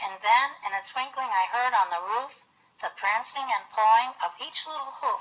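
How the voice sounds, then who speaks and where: A woman with a plain, everyday voice speaks at a moderate pace with lively intonation. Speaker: grandmother reading aloud. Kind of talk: storybook poem reading.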